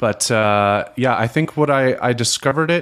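A moderate pace and ordinary pitch variation in an ordinary speaking voice. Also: man. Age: 30s. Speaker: music fan podcast guest. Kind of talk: casual chat.

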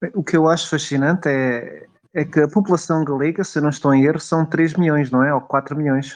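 Here a man speaks in an ordinary speaking voice at a fairly high pitch. His pace is moderate, his intonation fairly even, and his loudness very even. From Portugal, Coimbra. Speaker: podcast co-host. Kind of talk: casual discussion.

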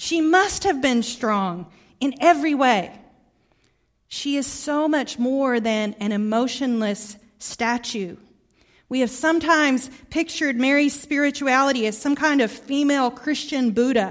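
A woman with a slight Southern US accent speaks fairly slowly in a high pitch with ordinary pitch variation. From Arkansas, US South. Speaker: guest preacher. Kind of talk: sermon. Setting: church.

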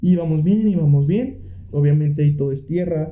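Lively intonation marks a man's fairly high voice, heard with audible room echo. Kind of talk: casual chat. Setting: home studio.

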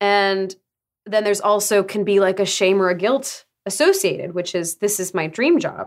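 The pitch varies in an ordinary way and the pace is moderate. It is an ordinary speaking voice. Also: woman, medium pitch for a woman. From Arizona, US. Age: 20s. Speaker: voice actor and writer. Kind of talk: casual interview.

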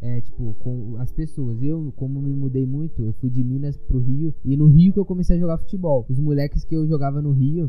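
A fairly high-pitched man at a fairly quick pace with hardly any pauses, amid noticeable background noise and audible room echo. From Brazil. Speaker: podcast host, amateur footballer. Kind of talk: casual chat.

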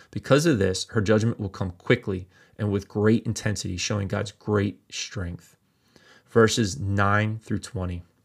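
A man talks in a normal speaking voice, fairly low in pitch, at a fairly slow pace with fairly even intonation. The recording is very clean, with a silent background. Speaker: pastor. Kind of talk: Bible teaching sermon; reading scripture aloud. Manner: formal, measured reading; steady, solemn delivery.

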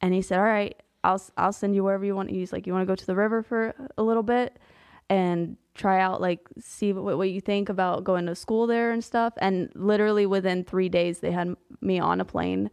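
With an American accent, a woman speaks at a fairly quick pace in a monotone, flat way against a quiet background. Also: medium pitch for a woman. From US South, Pensacola, Florida. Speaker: ministry media editor and author. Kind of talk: testimony.

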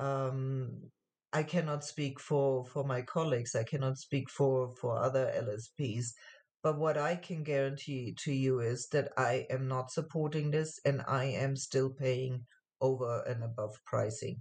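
Somewhat breathy and very deep and low, a woman's voice moves at a fairly slow pace with fairly even intonation. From Germany. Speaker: translation agency owner. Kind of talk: interview. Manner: halting, repeated words.

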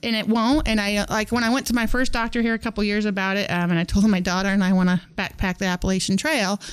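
Speaking very fast with hardly any pauses, a woman with a Midwestern US accent keeps her loudness very even, her medium pitch showing ordinary variation. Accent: US Midwest. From Northwest Kansas. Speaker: teacher. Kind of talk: casual interview. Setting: studio.

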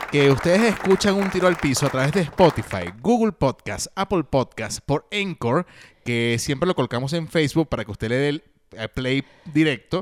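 A man in a Venezuelan accent with a fairly high pitch, moderate pace, and very wide pitch swings. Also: dry, close sound with no echo. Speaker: podcast co-host. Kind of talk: casual chat.

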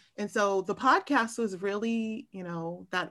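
Over a quiet background, a woman speaks with a Californian accent at a fairly slow pace. Her tone is bright and sharp, and her pitch is fairly high. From Southern California, Long Beach. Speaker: architecture marketing professional and podcaster. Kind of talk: casual interview conversation.

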